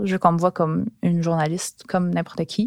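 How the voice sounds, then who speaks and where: The recording is very clean, with a silent background and a dry, close sound with no echo. A woman speaks at a fairly quick pace. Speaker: former sports journalist. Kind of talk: personal storytelling. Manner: casual, with hesitations.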